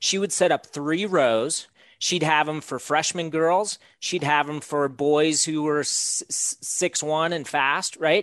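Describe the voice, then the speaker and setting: A man's fairly high-pitched voice at a very slow pace, with fairly even intonation over a quiet background. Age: 40s. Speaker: distance running coach. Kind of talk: podcast interview. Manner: halting, repeats words.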